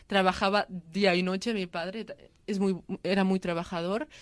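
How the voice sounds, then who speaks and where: A woman, medium-pitched with fairly even intonation, in an unremarkable speaking voice, on a very clean recording with a silent background. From Catalonia, Spain (Lleida). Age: 20s. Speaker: interviewee sharing migrant family story. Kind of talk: testimony.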